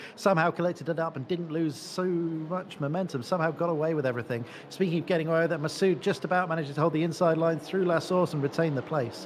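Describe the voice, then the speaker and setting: A fairly high-pitched man talking at a very fast pace with hardly any pauses, amid noticeable background noise. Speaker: esports race co-commentator. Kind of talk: live commentary. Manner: animated.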